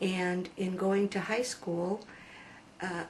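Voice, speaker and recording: Speaking at a very slow pace with an American accent, a woman with a medium pitch is heard over noticeable background noise. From USA. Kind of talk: testimony. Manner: hesitant, many fillers.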